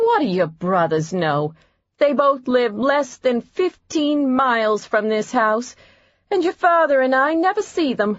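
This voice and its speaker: A woman puts on a character voice with a high pitch and very wide pitch swings. She speaks at a fairly slow pace. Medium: read story. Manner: melodramatic, guilt-tripping.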